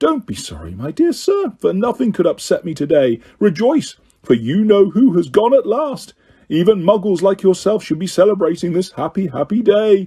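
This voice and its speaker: Putting on a squeaky character voice, a man speaks at a moderate pace and a high pitch, his pitch swinging very widely. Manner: gleeful, delighted.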